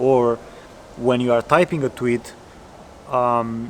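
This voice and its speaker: The intonation is monotone and flat. Noticeable background noise can be heard. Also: man. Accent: non-native. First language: not English. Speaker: coding coach. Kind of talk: casual tutorial talk. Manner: halting, with self-corrections.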